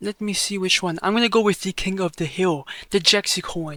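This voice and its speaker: Projecting his raised, high-pitched voice at a moderate pace, a man sounds bright and sharp, with ordinary pitch variation and a dry, close sound with no echo. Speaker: crypto tutorial youtuber. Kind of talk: tutorial. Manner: casual, swears.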